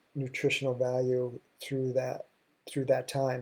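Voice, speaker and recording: In an American accent, a man speaks at medium pitch with a dark, mellow tone. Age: 60s. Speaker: health and wellness show host. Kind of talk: solo talk show monologue. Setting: live stream.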